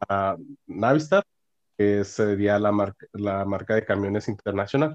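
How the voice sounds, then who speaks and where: This man's pitch sits fairly low and varies in an ordinary way. He talks at a moderate pace. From northern Mexico (Monclova, Coahuila; Monterrey). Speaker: mechatronics engineer. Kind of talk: interview. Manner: halting, frequent fillers and repetitions.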